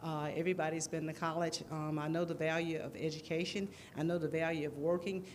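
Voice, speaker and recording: A woman with a Southern US accent, fairly low pitch, fairly quick pace, monotone flat intonation and audible room echo. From US South, Jackson. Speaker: city council candidate. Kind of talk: campaign speech. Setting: church hall with audience. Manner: halting.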